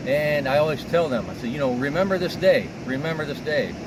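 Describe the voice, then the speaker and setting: With an American accent, a man speaks at a moderate pace and fairly high pitch, his intonation lively. Noticeable background noise runs underneath. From US Midwest (Illinois). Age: 60s. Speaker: arborist. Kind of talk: interview. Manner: halting, with many fillers.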